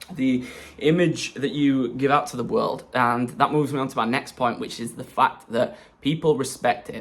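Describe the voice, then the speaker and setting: At a moderate pace, a man with an English accent talks at a fairly high pitch with ordinary pitch variation. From England. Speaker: self-development vlogger. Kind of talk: casual vlog monologue. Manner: hesitant fillers.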